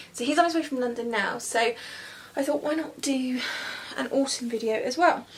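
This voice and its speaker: With a British accent, a woman speaks at a high pitch with ordinary pitch variation and long, frequent pauses, over noticeable background noise. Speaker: beauty vlogger. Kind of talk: makeup tutorial. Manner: fast; chatty.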